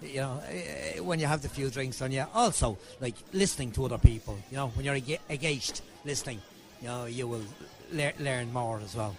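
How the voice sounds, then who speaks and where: With music in the background, a man with an Irish accent speaks at a medium pitch and a fairly quick pace, his intonation lively. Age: 60s. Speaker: audience member. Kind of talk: vox pop interview. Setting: live gig venue.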